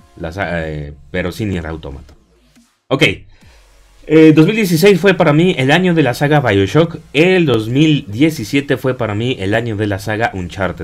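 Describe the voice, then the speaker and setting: Vocal fry marks this fairly slow delivery, which has very wide pitch swings. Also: man, medium pitch for a man. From Mexico. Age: 30s. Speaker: gaming YouTuber. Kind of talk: casual vlog monologue. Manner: hesitant, many fillers.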